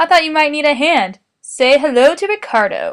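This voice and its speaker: A woman uses a put-on character voice with a high pitch. She talks at a moderate pace. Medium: read story.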